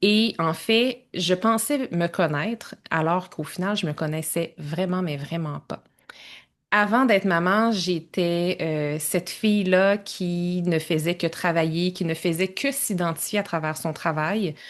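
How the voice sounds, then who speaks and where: A woman's fairly low voice with ordinary pitch variation and a Quebec accent, very slow pace, quiet background. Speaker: entrepreneur and time-management coach. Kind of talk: podcast interview.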